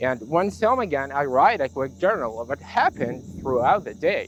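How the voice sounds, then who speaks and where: A man's voice sits fairly high in pitch, with music playing behind him. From Jordan, Palestinian roots. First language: Arabic. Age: 20s. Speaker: language student and assistant English teacher. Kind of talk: personal testimony monologue.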